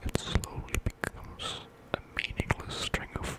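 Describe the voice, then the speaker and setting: Someone is whispering in a relaxed tone. Noticeable background noise is present. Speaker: ASMR creator. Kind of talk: ASMR trigger words. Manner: whispered, up close; soft, relaxed, rambling.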